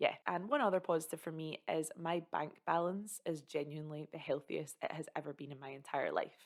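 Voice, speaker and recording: A woman's very deep, low voice with a Scottish accent, fairly quick with hardly any pauses, and big swings in loudness. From Scotland. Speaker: content creator. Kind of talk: casual talk to camera. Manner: upbeat, chatty.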